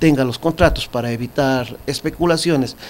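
His intonation is fairly even. The man speaks at a fairly quick pace. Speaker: TV interviewee. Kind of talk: interview answer. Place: studio. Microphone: studio mic.

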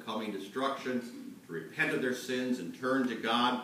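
A man talks at a moderate pace, with audible echo in the room. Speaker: pastor. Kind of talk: sermon. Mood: earnest, serious. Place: church.

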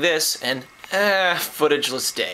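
Over light background noise, a man speaks with very wide pitch swings. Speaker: vlogger. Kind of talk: casual vlog chat. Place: home room. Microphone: phone near.

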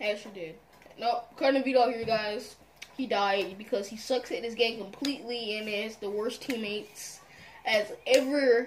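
A woman's fairly high voice at a moderate pace over light background noise. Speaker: gamer. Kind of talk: casual gaming commentary. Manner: excitable. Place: home room.

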